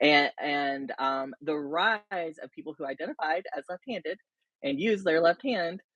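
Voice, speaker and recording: A woman speaks at a fairly low pitch with lively intonation. Her loudness swings widely. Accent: slight Southern. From US South, rural South Carolina. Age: 30s. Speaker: interview guest, reality TV fan. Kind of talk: casual interview.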